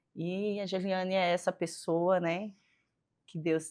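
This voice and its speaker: A woman speaks with a strong northeastern Brazilian accent. Her pace is very slow. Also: quiet background. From Northeast Brazil. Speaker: physiotherapist. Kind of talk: faith interview chat.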